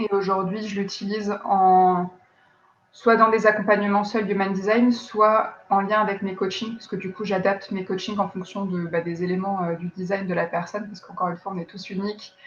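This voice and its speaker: Her loudness swings widely as a woman speaks at a moderate pace. Her medium-pitched voice stays monotone and flat in intonation. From France. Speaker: life coach. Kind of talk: interview. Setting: live video stream. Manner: hesitant with many fillers.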